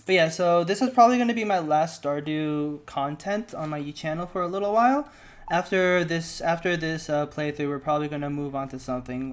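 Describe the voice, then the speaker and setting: Music runs in the background as the speech moves along at a fairly quick pace. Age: 20s. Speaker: video game streamer. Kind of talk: casual live-stream gameplay commentary. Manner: halting, many fillers and restarts; stutters at times.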